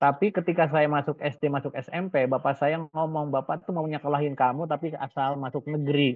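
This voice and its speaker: Here a man speaks at a very fast pace. His pitch is fairly high. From West Java, Indonesia (Ciamis). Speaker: business coach. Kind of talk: webinar talk. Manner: casual, conversational.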